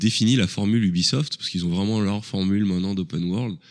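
Recorded very cleanly against a silent background, a man with a fairly low pitch talks at a very fast pace. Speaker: video game podcast team member. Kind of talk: casual chat.

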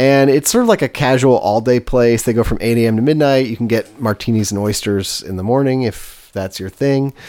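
A man with an American accent speaks at a fairly quick pace with hardly any pauses, his medium-pitched voice dark and mellow with ordinary pitch variation, on a very clean recording with a silent background. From US West Coast (East Bay, California). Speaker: food podcast host. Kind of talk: casual chat.

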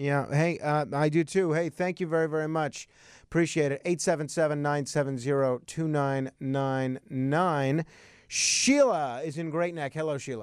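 Against a quiet background, a man with a fairly high pitch speaks at a moderate pace in an ordinary speaking voice, with fairly even intonation. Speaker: radio host. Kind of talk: call-in talk radio. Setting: studio.

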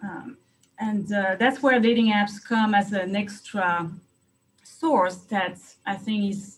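A somewhat breathy woman's voice with a French accent. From France. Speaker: private investigator. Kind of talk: interview. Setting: video call.

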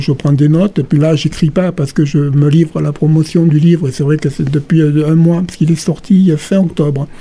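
Fairly high-pitched male voice, fairly even intonation, hardly any pauses, noticeable background noise. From southern France, Gard (Calvisson). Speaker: novelist. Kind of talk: radio interview. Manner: hesitant, many fillers.

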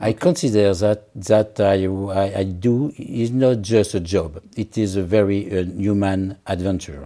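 The dark, mellow tone moves at a fairly slow pace with ordinary pitch variation and hardly any pauses, on a very clean recording with a silent background. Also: man, fairly low pitch for a man. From France. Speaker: senior naval officer. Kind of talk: interview. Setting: in person in Paris. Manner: halting.

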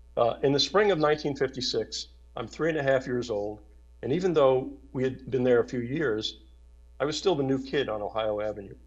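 At a fairly quick pace, a man speaks with a medium pitch. His pitch varies in an ordinary way.

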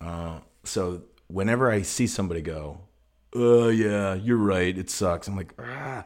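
A man with an American accent talks at a fairly slow pace in a fairly low pitch, with ordinary pitch variation and an unremarkable speaking voice. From northern Illinois. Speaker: musician and podcast host. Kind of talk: casual chat.

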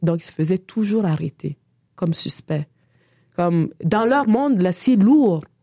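Speaking at a fairly slow pace in a Quebec accent, a woman makes very wide pitch swings. The sound is dry and close, with no echo. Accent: Québécois French. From Senegal (Dakar) until 8, then Canada (Quebec). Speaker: artist and feminist activist. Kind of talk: interview conversation. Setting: studio.

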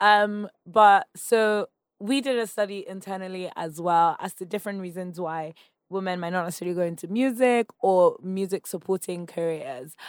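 A woman with a Nigerian accent speaks at a medium pitch and moderate pace with ordinary pitch variation, the recording very clean with a silent background and a dry, close sound with no echo. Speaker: founder of a women's media community. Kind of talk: casual interview. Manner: laughs often.

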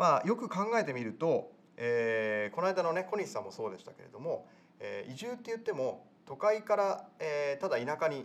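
A man with a high pitch speaks at a moderate pace. His voice moves through very wide pitch swings. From rural area. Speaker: podcast host. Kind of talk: casual interview; scripted outro.

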